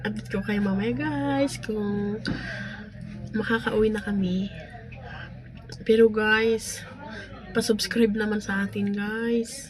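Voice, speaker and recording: A woman speaking very slowly with long, frequent pauses and ordinary pitch variation, over music in the background. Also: medium pitch for a woman. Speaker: farmer vlogger. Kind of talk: casual vlog. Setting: beside a vehicle, roadside.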